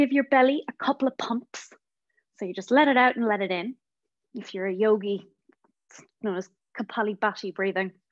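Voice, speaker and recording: A woman with a western Irish accent talks at a fairly quick pace, her fairly high voice showing big swings in loudness and long, frequent pauses. The sound is dry and close with no echo, over a quiet background. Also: ordinary pitch variation. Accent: Irish (west of Ireland). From west of Ireland. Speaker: social worker leading a guided prayer session. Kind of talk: guided meditation with movement instructions.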